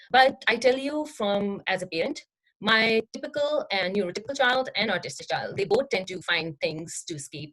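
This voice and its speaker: At a fairly quick pace, the speech shows very wide pitch swings. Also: woman. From Pakistan. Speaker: behavior analyst and parent. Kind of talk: presentation. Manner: halting, with many fillers.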